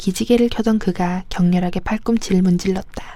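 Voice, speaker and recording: Her voice is somewhat breathy with a medium pitch and a dark, mellow tone, as the woman speaks at a fairly slow pace. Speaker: audiobook narrator. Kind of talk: reading aloud.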